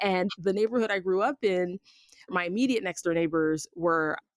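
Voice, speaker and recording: In an American accent, a woman talks at a fairly low pitch with ordinary pitch variation and a dry, close sound with no echo. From US Northeast, South Jersey (Pennsauken area). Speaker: podcast host. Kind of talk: casual interview conversation.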